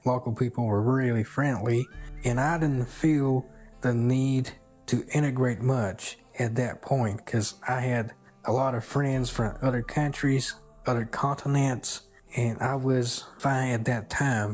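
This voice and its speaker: Speaking at a medium pitch with a Southern US accent, a man talks fairly slowly with fairly even intonation and very even loudness while music plays in the background. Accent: American Southern. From China. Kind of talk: personal story told in interview.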